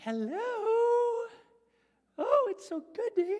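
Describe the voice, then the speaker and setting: A female-sounding voice puts on a cheerful character voice at an extremely high pitch. The pace is fairly slow. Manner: suddenly sweet and cheerful.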